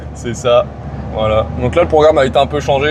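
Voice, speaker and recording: Over noticeable background noise, a man at a medium pitch speaks at a fairly quick pace. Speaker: vlogger. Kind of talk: casual chat.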